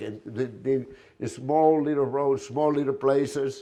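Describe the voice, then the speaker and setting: Over a quiet background, a man with a medium pitch and a dark, mellow tone speaks at a moderate pace. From Spain, Galicia. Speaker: restaurant owner. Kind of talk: presentation. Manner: hesitant.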